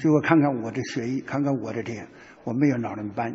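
Noticeable background noise accompanies a man speaking at a fairly quick pace with fairly even intonation. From Taiwan. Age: 80s+. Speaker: retired general, party leader. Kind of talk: interview answer.

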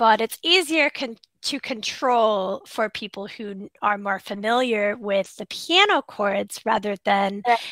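In a quiet background with a dry sound and no echo, a woman with an American accent speaks at a fairly slow pace in a bright, sharp, fairly high voice, using ordinary pitch variation and big swings in loudness. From USA. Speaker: English tutor. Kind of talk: casual chat. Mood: friendly, cheerful. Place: home room.

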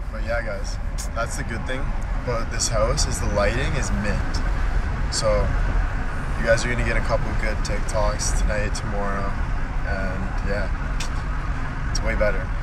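Loud background noise surrounds a man speaking at a fairly slow pace, in a dry sound with no echo. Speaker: social media personality. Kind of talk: livestream chat. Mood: upbeat, grateful. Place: car. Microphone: phone near.

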